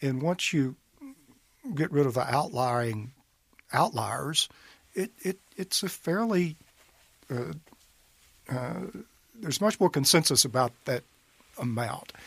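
The speaker has a Mississippi accent and lively intonation, talking at a fairly slow pace. Long pauses come often, and the sound is dry and close with no echo. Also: man, fairly high pitch for a man. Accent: Southern US (Mississippi). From US South, northeast Mississippi (Monroe County). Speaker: state senator, attorney. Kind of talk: interview.

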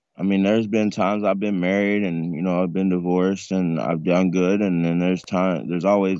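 Against a quiet background, a man with an American accent speaks at a moderate pace with a very deep, low pitch and fairly even intonation. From North Carolina. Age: 40s. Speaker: homeless man sharing his story. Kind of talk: interview.

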